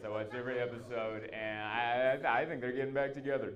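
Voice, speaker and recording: Room echo is audible around this man. He has an American accent and medium pitch. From Southern California. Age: 30s. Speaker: stand-up comedian. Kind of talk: stand-up. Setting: stage with audience. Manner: animated.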